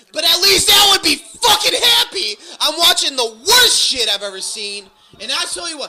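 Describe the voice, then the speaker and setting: With noticeable background noise behind him, a man uses a raised, projected voice with very wide pitch swings and big swings in loudness. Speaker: podcast host. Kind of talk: casual banter, profane riffing, live reaction while watching wrestling. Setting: garage podcast recording.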